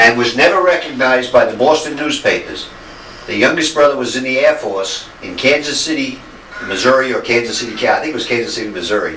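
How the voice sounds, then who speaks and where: With audible room echo and noticeable background noise, a man with an American accent talks at a very fast pace in a medium pitch with ordinary pitch variation. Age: 70s. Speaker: visiting relative, Navy veteran. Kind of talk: casual chat.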